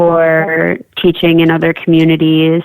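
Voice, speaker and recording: This woman has a fairly low pitch and an Upper Midwest accent. She speaks at a very slow pace. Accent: Upper Midwest American. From South Dakota. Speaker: artist and art teacher. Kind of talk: radio interview. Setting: phone or remote call from her kitchen.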